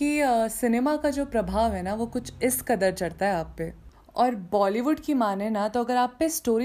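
A woman's high-pitched, dark and mellow voice with lively intonation at a moderate pace, on a very clean recording with a silent background. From Uttarakhand, Garhwal hills. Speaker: podcast host. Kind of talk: casual podcast monologue.

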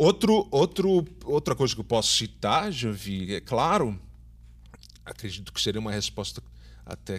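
Male speech at a moderate tempo, captured in a very clean recording against a silent background. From São Paulo, Brazil. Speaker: theatre teacher and director. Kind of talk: interview.

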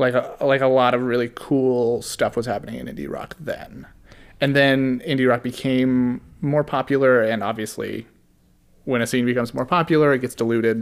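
His pitch is medium and his intonation fairly even. The man talks in an ordinary speaking voice at a moderate pace. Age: 20s. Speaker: podcast co-host, music reviewer. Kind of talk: casual chat.

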